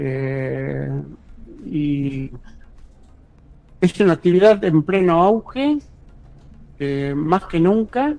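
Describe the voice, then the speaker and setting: A man speaks with a high pitch and a dark, mellow tone, his intonation lively. His pace is very slow, broken by long, frequent pauses. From Buenos Aires, Argentina. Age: 70s. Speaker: ghostwriter and university lecturer. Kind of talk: interview.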